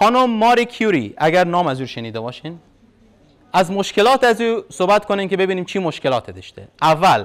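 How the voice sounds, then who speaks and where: The speech moves at a fairly quick pace with very wide pitch swings and big swings in loudness. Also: man, high pitch for a man. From Afghanistan. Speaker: university lecturer. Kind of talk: lecture. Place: hall.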